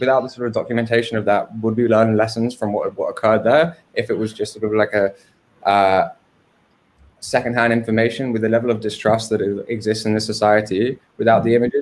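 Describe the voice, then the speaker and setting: At a fairly quick pace, a man with an English accent speaks in a medium pitch with monotone, flat intonation. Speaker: filmmaker. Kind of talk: interview on a livestream. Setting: livestream. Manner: hesitant, many fillers.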